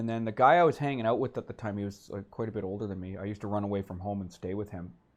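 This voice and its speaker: With a western Canadian accent, a man speaks at a fairly low pitch. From Vancouver, western Canada. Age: 40s. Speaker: comedian. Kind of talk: interview.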